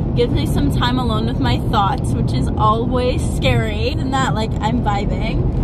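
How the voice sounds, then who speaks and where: Loud background noise surrounds a woman speaking at a fairly slow pace, in a dry sound with no echo. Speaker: vlogger. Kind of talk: casual vlog chat. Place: car. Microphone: phone near.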